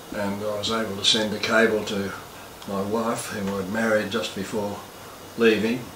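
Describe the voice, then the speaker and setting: A fairly low male voice with an Australian accent, at a moderate pace, with monotone, flat intonation. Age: 80s+. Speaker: war veteran. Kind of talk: interview answer.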